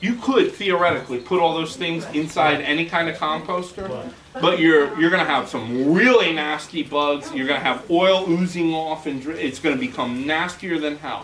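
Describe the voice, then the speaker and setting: An animated man with a fairly high pitch and ordinary pitch variation talks with hardly any pauses. Audible room echo and noticeable background noise fill the recording. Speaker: gardening workshop instructor. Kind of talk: workshop class talk. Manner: fast.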